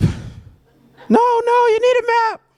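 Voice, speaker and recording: Over sound effects in the background, a man puts on a character voice at an extremely high pitch. His intonation stays monotone and flat. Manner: nagging, insisting.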